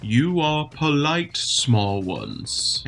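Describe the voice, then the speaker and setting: Using a put-on character voice, a man speaks at a fairly high pitch with light background noise. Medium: game stream. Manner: slow, broken simple speech.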